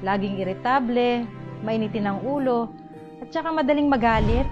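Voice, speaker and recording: Music plays in the background as the voice moves at a moderate pace with ordinary pitch variation. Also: woman. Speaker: neighbour and relative of the testimonial giver. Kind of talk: testimonial interview answer.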